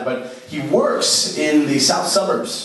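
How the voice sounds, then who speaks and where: With an American accent, a man speaks with ordinary pitch variation. Noticeable background noise and audible room echo are present. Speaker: stand-up comedian. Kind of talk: stand-up comedy set. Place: stage.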